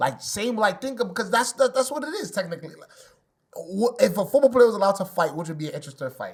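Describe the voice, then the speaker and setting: The speaker has a New York accent. The pace is very fast. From New York City (Bronx). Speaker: debate show panelist. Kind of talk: casual debate. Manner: halting, repetitive.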